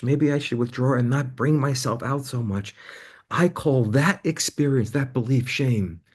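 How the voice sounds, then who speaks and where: Against a quiet background, a man talks at a moderate pace in a medium-pitched, somewhat breathy voice. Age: 60s. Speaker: counselor and author. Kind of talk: interview.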